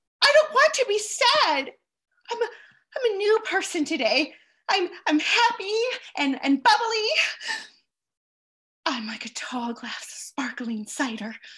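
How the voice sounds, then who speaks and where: In a raised, projected voice, a woman speaks at a fairly slow pace with very wide pitch swings and long, frequent pauses over a quiet background. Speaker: actor in a remote play reading. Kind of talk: dramatic stage dialogue. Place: home room. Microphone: headset.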